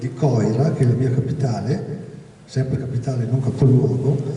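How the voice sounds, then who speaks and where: Amid noticeable background noise and audible room echo, a man speaks at a medium pitch in a monotone, flat intonation. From Veneto, Verona area. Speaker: doctor and history speaker. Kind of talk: public talk. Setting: evening event with audience. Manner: hesitant with frequent fillers.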